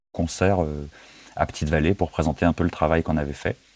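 Recorded very cleanly against a silent background, a man's dark, mellow voice comes through dry and close with no echo. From France. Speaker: singer-songwriter. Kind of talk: interview. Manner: hesitant, many repetitions.

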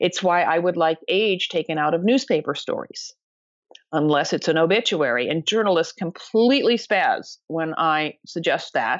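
Against a quiet background, an unremarkable speaking voice moves at a moderate pace with lively intonation. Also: woman, fairly low pitch for a woman. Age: 60s. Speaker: author and anti-ageism advocate. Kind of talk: interview conversation.

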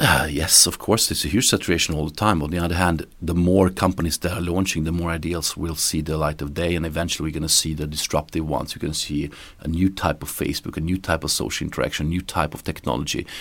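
Talking at a very fast pace, a man uses a very deep, low pitch. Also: hardly any pauses. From Romania, moved to Sweden at 12. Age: 30s. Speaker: entrepreneur. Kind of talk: interview. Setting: echoey small room in office. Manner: energetic.

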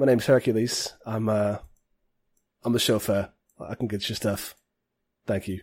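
A man puts on a character voice, raspy and medium-pitched, at a moderate pace. His intonation stays monotone and flat, broken by long, frequent pauses.

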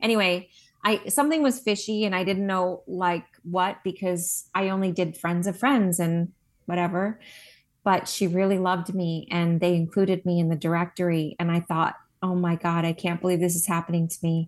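Against a quiet background, a woman with an American accent talks at a moderate pace. She has a plain, everyday voice, fairly low in pitch, with fairly even intonation. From New Jersey. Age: 50s. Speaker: esthetician and skincare founder. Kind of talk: interview. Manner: casual, many fillers.

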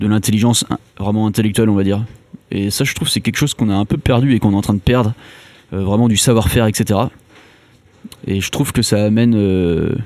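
Talking at a very fast pace yet with long, frequent pauses, a man keeps a fairly low pitch. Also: fairly even intonation. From Brittany, France. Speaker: engineer, low-tech association cofounder. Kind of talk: interview. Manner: hesitant, many fillers.

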